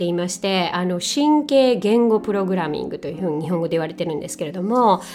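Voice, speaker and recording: A woman speaks at a medium pitch. Her pace is fairly slow and her intonation is lively. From Japan. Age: 40s. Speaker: podcast host. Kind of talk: casual monologue. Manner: halting.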